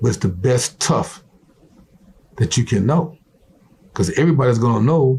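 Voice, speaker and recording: A somewhat breathy man with an American accent, medium pitch, a moderate pace and long, frequent pauses. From US South. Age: 60s. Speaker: retired football player. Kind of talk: motivational interview talk. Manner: animated.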